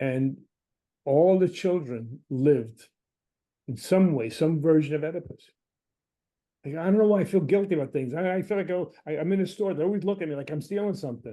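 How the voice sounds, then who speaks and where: With a New York accent, a man speaks at a fairly quick pace in a dark, mellow tone, his pitch fairly high and his pauses long and frequent. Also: ordinary pitch variation. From Brooklyn, New York. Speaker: Jungian analyst and lecturer. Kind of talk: lecture. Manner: animated.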